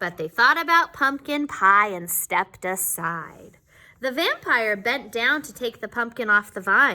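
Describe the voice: The intonation has plenty of life. The delivery is plain reading aloud.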